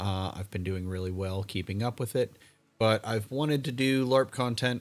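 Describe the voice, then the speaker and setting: Over background music, the man's voice stays fairly low in pitch. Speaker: live streamer and game organizer. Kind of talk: livestream talk. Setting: home livestream. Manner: monotone; halting.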